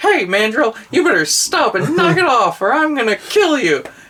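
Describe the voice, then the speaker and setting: A put-on character voice sits at a fairly high pitch with very wide pitch swings. The pace is moderate, with light background noise. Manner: goofy, not tough, in contrast to the gruff original.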